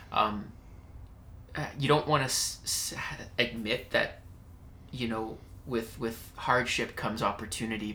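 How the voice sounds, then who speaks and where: A man talks at a fairly slow pace with a medium pitch and a bright, sharp tone. Room echo is audible. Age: 20s. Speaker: podcast host. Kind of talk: casual interview chat. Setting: at guest's business premises.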